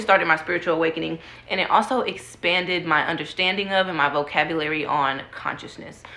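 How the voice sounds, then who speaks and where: Over noticeable background noise, the voice carries ordinary pitch variation. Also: woman. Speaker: book vlogger. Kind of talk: casual talk to camera about books. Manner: casual, filler-heavy speech.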